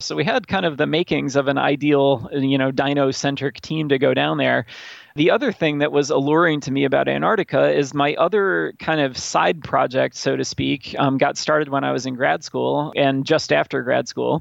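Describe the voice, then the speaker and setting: With an American accent, a man talks at a moderate pace with hardly any pauses. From upstate New York. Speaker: paleontologist, museum researcher. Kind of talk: interview. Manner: halting, many fillers.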